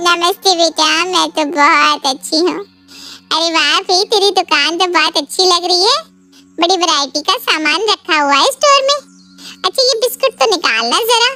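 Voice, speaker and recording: A woman's cartoonish character voice, extremely high with very wide pitch swings, at a moderate pace, dry and close with no echo, music in the background. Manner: familiar, chatty, presumptuous.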